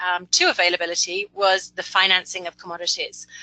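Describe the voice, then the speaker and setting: A woman with a medium pitch and a bright, sharp tone talks at a fairly quick pace with fairly even intonation. The sound is dry and close, with no echo. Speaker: principal technical advisor, webinar presenter. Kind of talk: webinar presentation. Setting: webinar broadcast.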